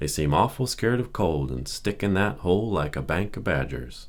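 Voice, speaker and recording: A man talks at a moderate pace with lively intonation and a very deep, low pitch. Vocal fry runs through his voice. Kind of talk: audiobook reading for relaxation. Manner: normal speaking voice, not whispered; gentle.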